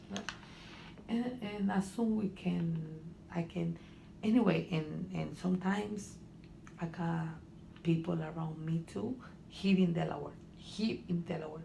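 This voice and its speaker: A woman's somewhat breathy, fairly low voice with a dark, mellow tone and a Honduran accent, at a fairly slow pace with long, frequent pauses. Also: ordinary pitch variation. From Honduras. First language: Spanish. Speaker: student, immigrant. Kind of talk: counseling interview. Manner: halting.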